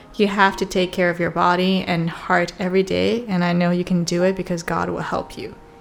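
Her pitch is fairly low and her intonation monotone and flat, with hardly any pauses. The woman is heard over noticeable background noise. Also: fairly quick pace. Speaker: podcast host. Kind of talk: casual chat, sibling Q&A. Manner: playful, teasing.

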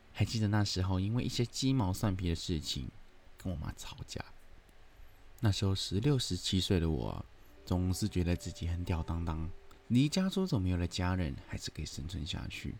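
A man's very deep, low voice with lively intonation and a slight Hong Kong accent, at a moderate pace. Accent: slight Hong Kong accent in Mandarin. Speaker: podcast host. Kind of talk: storytelling narration.

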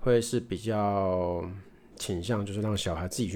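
Speaking with a Taiwanese accent, the man uses a fairly low pitch and a fairly slow pace. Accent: Taiwanese Mandarin. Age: 30s. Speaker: podcast host. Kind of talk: casual monologue. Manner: halting, with repetitions.

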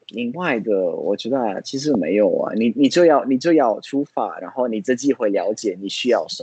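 This man has lively intonation. His voice carries a dark, mellow tone. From Italy, Florence. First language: Italian (speaking Chinese). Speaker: language learner and traveler. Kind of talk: interview. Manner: halting, frequent fillers.

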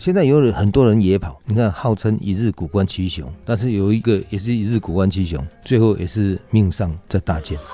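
A fairly low-pitched male voice with hardly any pauses, set against music in the background. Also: ordinary pitch variation, moderate pace. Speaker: mountain rescue team leader. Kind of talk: interview.

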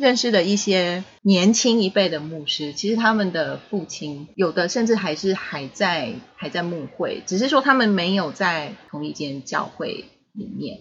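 Somewhat breathy and delivered at a fairly slow pace, the voice carries a Taiwanese accent and lively intonation. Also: woman, medium pitch for a woman. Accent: Taiwanese Mandarin. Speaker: pastor's child, podcast guest. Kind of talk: casual chat.

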